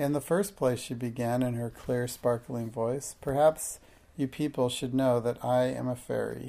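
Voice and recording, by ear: Intonation stays fairly even as the speaker is reading aloud in a natural voice.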